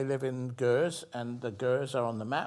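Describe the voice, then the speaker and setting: With a British accent, a man of medium pitch talks at a moderate pace and fairly even intonation on a very clean recording with a silent background. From England, London. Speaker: physician scientist. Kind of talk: interview. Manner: halting, with many repeated words.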